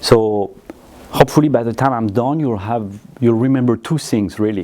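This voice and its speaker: Noticeable background noise sits behind this speaker. He is a man with a French accent, talking at a moderate pace. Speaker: audio company managing director. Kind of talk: product presentation.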